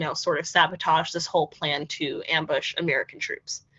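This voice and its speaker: Here a woman has a plain, everyday voice with a fairly low pitch. She talks at a fairly quick pace. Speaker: historical interpreter. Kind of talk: museum history lecture.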